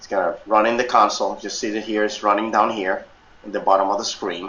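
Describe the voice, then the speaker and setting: Amid audible room echo, a man with a fairly low pitch rushes along at a very fast pace, his monotone, flat intonation paired with big swings in loudness. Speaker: software instructor. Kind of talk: tutorial. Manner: halting, many fillers.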